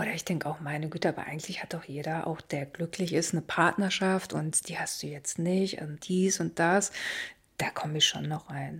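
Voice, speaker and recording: The voice has vocal fry and fairly even intonation. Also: woman, fairly low pitch for a woman, moderate pace. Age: 50s. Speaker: job placement officer. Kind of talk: personal interview.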